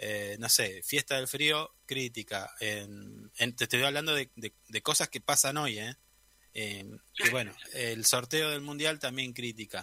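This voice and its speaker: A man with a medium pitch and a bright, sharp tone, very slow, with ordinary pitch variation and a dry, close sound with no echo. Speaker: radio host. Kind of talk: radio interview.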